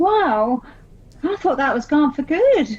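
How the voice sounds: In a put-on character voice, a woman speaks slowly at a high pitch with big pitch swings and a slightly mellow tone.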